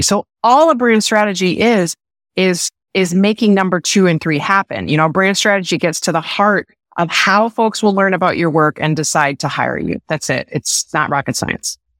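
A woman speaks with an energetic tone and lively intonation. Her pitch is medium and her pace moderate. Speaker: brand strategist. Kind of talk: interview. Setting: video call. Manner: hesitant fillers.

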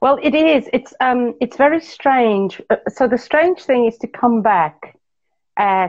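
A woman speaks at a very slow pace. Her pitch is high and her intonation is lively. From South Africa. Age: 40s. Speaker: businesswoman. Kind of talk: casual chat. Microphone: connection freezing.

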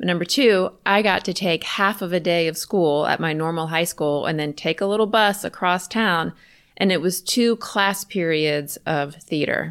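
In a normal speaking voice, a woman with an American accent talks at a moderate pace and a fairly low pitch with ordinary pitch variation, on a very clean recording with a silent background. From US South, Richmond, Virginia. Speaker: podcast host, creativity coach and teacher. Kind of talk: casual personal storytelling monologue.

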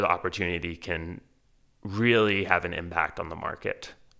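On a very clean recording with a silent background, a man with an American accent speaks at a moderate pace with a very deep, low pitch and a bright, sharp tone. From Texas, Houston. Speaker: podcast host and newsletter founder. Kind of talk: reading aloud an essay.

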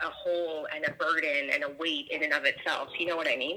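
Noticeable background noise sits behind this woman's voice. Her pitch is fairly low, and she talks at a fairly quick pace. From Toronto, Canada. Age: 30s. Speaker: guest. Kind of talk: casual phone chat interview.

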